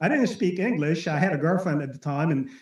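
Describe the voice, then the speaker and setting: Speaking at a very fast pace, a man with an Arabic accent uses a high pitch. His intonation is lively. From Lebanon. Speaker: network marketing speaker. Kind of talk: motivational talk on a webinar. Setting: webinar. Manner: animated.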